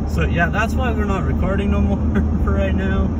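Loud background noise sits behind a man's voice, which sounds dry with no echo. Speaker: driver vlogger. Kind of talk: casual vlog chat. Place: car. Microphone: phone near.

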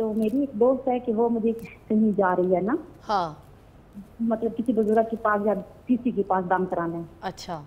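At a moderate pace, a woman speaks in a dark, mellow tone, her fairly high pitch moving with ordinary variation. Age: 40s. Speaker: caller. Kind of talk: phone-in question.

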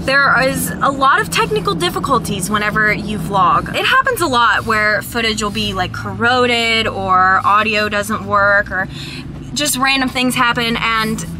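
A woman speaks at a moderate pace with ordinary pitch variation. The sound is dry with no echo, though there is noticeable background noise. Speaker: vlogger. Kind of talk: casual vlog chat. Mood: disappointed, venting. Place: car. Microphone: phone near.

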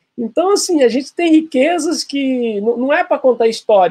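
This man has an extremely high pitch. He talks at a fairly quick pace. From Minas Gerais, Brazil (Santa Luzia). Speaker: lawyer and law professor. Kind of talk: interview. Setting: video call. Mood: animated, smiling. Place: home room. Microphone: video call.

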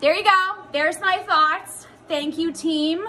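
A woman speaks in a raised, projected voice with light background noise. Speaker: fitness coach. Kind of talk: casual vlog chat. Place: home room. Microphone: phone near.

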